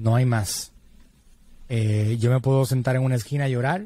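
Speaking at a moderate pace, a man with a medium-pitched, somewhat breathy voice and a dark, mellow tone keeps his intonation fairly even in a dry recording with no echo. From Puerto Rico, San Juan. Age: 40s. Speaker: digital marketing entrepreneur; podcast guest. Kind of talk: interview conversation. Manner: halting, many fillers. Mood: earnest, reflective about late father. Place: studio. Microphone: studio mic.

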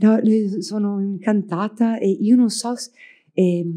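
A woman with a dark, mellow tone speaks with fairly even intonation over a quiet background. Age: 40s. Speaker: architect; panelist. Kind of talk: public talk in dialogue. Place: hall. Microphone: podium.

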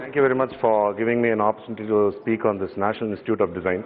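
A man with a Tamil accent at a very fast pace, over light background noise. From Tamil Nadu. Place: hall. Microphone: podium.

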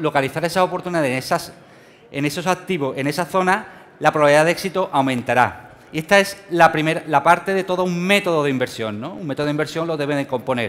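Speaking in a Sevillian accent, a man uses a fairly high pitch with ordinary pitch variation. His pace is fairly quick. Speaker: financial trading speaker; speaker. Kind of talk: conference talk. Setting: stage with audience. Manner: fast. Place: hall.

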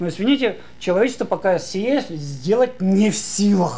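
The voice is a man's, animated in tone. Its intonation stays lively. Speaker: philosophy lecturer. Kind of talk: conference talk. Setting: stage with audience. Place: hall.

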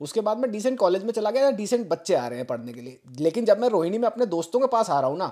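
A man's high, dark and mellow voice with very wide pitch swings. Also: hardly any pauses, big swings in loudness. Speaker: podcast host. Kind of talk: casual chat.

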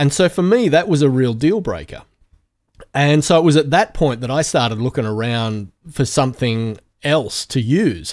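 With an Australian accent, a man speaks in a fairly high voice with lively intonation. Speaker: podcast host, audio engineer. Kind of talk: casual chat.

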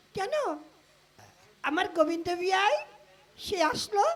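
A cartoonish character voice from a man, pitched extremely high. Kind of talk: comic puppet play dialogue. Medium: puppet.

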